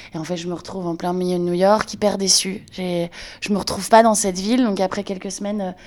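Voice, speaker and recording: A woman's medium-pitched voice at a fairly quick pace, in a monotone, flat intonation. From northern France, Lille. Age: 30s. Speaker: entrepreneur, brand founder. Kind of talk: interview testimony. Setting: in a friend's home.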